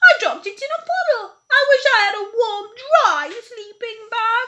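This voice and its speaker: Extremely high pitch in a put-on character voice. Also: moderate pace. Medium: read story.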